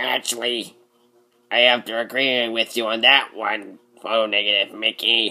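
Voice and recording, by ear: A man uses a put-on character voice at medium pitch. He speaks at a moderate pace in a monotone, flat way.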